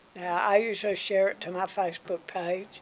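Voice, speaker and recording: The speaker talks at a fairly slow pace with a Mississippi accent. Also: woman. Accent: Southern US (Mississippi). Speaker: local TV interviewer. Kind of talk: TV interview. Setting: TV studio.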